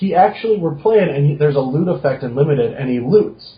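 A man's voice comes across somewhat breathy. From North Dakota. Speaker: pro card game player and commentator. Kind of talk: casual chat.

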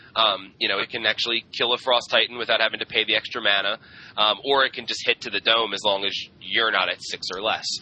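A man with an ordinary speaking voice talks at a fairly quick pace. His intonation stays fairly even. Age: 20s. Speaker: podcast co-host. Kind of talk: casual chat.

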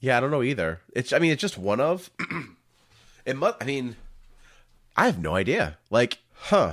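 Over a very clean recording with a silent background, a man at medium pitch talks at a moderate pace with vocal fry, very wide pitch swings and long, frequent pauses. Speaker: podcast host discussing card games. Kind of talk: casual chat.

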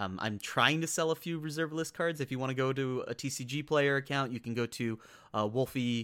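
Recorded very cleanly against a silent background, a man with a normal speaking voice talks at a fairly quick pace, with medium pitch and ordinary pitch variation. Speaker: podcast host. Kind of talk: casual solo podcast. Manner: casual, chatty.

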